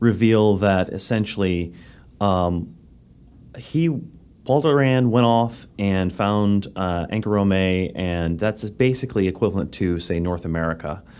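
Here is a man with a plain, everyday voice. His pitch is fairly low. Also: ordinary pitch variation, fairly slow pace. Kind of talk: casual chat.

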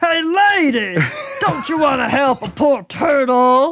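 Someone puts on a high-pitched character voice and talks at a fairly slow pace. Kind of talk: comical, whiny. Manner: screaming, pleading.

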